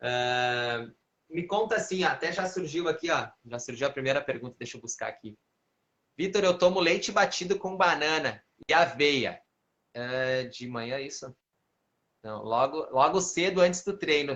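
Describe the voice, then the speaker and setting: A man with a fairly high pitch uses lively intonation at a moderate pace. He takes long, frequent pauses, and his loudness swings widely. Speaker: physical education trainer. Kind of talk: live stream Q&A. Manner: animated.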